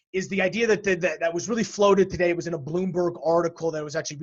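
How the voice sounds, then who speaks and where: High-pitched male speech with ordinary pitch variation. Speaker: energy market podcast host. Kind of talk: casual chat. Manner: fast.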